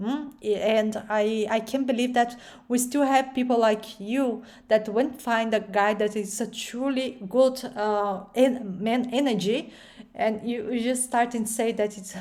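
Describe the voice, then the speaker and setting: Speaking fairly slowly, a woman keeps a fairly high pitch and fairly even intonation. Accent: strong Brazilian. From Brazil. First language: Portuguese. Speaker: video reaction YouTuber. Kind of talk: reaction commentary. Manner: halting, many fillers.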